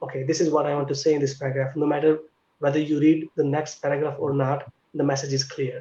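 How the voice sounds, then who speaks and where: A man speaks at a very fast pace in a fairly high voice. His tone is dark and mellow and somewhat breathy. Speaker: PhD student in pharmacy. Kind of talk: online panel interview.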